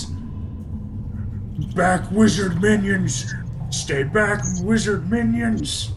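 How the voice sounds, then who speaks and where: A man uses a booming, put-on character voice at a very slow pace. Loud background noise fills the recording. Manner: commanding.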